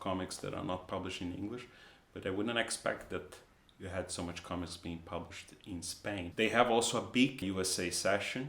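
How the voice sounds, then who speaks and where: A moderate pace with a Portuguese accent and ordinary pitch variation. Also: man. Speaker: comic artist. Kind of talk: casual vlog talk. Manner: halting, with repetitions.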